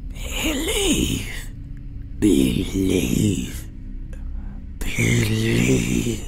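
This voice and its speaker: Someone puts on a character voice over clear background noise. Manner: voice on the verge of breaking with emotion.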